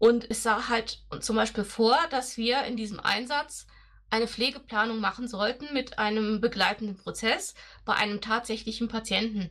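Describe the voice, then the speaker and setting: At a moderate pace, a woman talks in a normal speaking voice, fairly high in pitch, with fairly even intonation. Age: 40s. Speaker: nurse. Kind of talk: casual interview.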